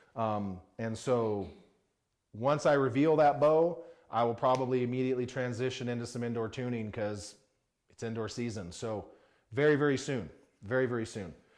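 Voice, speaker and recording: Audible room echo around a man at a moderate pace, medium in pitch with ordinary pitch variation and long, frequent pauses. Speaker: archery equipment reviewer. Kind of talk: casual product review. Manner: informal, conversational with fillers.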